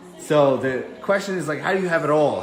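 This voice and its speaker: Animated in tone, a man with an American accent speaks fairly quickly at a fairly high pitch, with audible room echo and noticeable background noise. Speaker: online fitness business coach. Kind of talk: casual chat. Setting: livestream at home.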